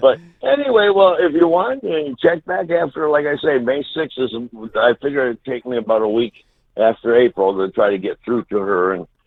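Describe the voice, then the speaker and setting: Very wide pitch swings from a man with a fairly high pitch, at a moderate pace. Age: 70s. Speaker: home seller. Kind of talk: phone call. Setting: phone call. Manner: halting.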